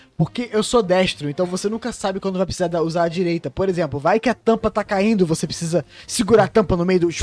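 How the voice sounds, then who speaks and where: A man's high voice at a very fast pace with hardly any pauses and ordinary pitch variation, dry and close with no echo, amid noticeable background noise. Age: 20s. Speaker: podcast host. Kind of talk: casual chat.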